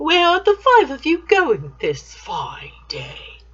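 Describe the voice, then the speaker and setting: Putting on a character voice, this woman goes extremely high in pitch and speaks very slowly. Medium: read story. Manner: smooth, sly.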